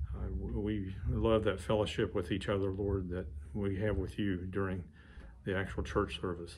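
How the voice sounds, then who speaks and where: Vocal fry runs through a man's very deep, low voice. Light background noise can be heard. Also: ordinary pitch variation, moderate pace. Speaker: church member leading prayer. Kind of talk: prayer. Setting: church. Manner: halting. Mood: calm, reverent prayer. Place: office. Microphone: studio mic.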